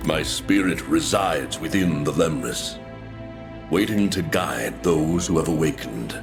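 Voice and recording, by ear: Clear music plays in the background behind a man's put-on character voice. It is extremely low in pitch and moves at a fairly slow pace. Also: lively intonation.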